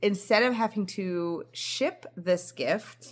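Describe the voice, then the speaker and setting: A woman speaks at a fairly high pitch with ordinary pitch variation on a very clean recording with a silent background. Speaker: knitting vlogger. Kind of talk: casual vlog chat. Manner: fast.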